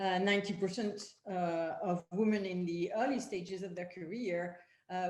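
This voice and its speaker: At a moderate pace, a woman speaks in a French accent with a medium pitch. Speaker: panel moderator. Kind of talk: panel discussion introduction. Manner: halting, many fillers.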